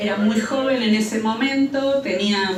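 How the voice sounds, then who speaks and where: A woman talks at a fairly slow pace in a medium-pitched voice. Audible room echo and noticeable background noise are present. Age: 60s. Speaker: human rights witness. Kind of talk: testimony. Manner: halting.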